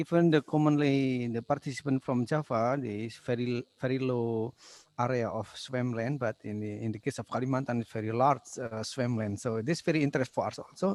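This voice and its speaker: At a fairly quick pace, a man with an Indonesian accent speaks at a medium pitch with ordinary pitch variation, the sound dry and close with no echo. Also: hardly any pauses. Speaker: session moderator. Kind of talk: conference Q&A moderation. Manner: halting.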